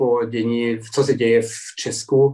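The speaker is a man. He has a German accent. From Germany, Dresden (Saxony). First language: German (speaking Czech). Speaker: journalist. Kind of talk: interview. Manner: halting.

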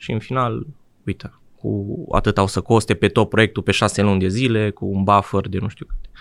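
At a fairly quick pace, a man talks at a fairly low pitch. He has a plain, everyday voice with fairly even intonation. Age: 20s. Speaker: IT freelancer developer. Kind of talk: interview conversation.

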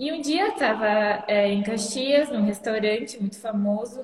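A woman with an unremarkable speaking voice talks at a fairly slow pace, her fairly high pitch showing ordinary variation. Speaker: winery manager. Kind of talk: casual chat. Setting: live online stream.

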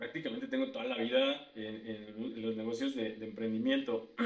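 A man's voice with audible room echo. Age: 40s. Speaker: systems engineer and podcast co-host. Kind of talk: casual chat.

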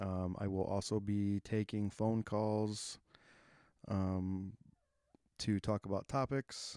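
A man's fairly low, dark, mellow voice at a very slow pace, monotone and flat with very even loudness and long, frequent pauses, dry and close with no echo in a very clean recording with a silent background. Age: 30s. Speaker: podcast host. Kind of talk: casual monologue. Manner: hesitant, many fillers.

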